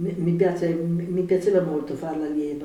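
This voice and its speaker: Noticeable background noise under a fairly slow delivery. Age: 70s. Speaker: yoga teacher. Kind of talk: interview.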